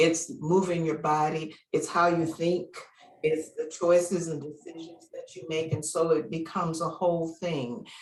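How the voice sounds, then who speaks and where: A woman with an unremarkable speaking voice talks at a moderate pace and fairly low pitch, her intonation fairly even but her loudness swinging widely. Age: 60s. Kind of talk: interview answer. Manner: casual, conversational.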